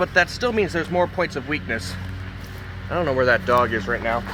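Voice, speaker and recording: A man shouts loudly at a fairly high pitch. Noticeable background noise surrounds him. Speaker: knife review youtuber. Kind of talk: casual product review. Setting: outdoors. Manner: loud, yelling over noise.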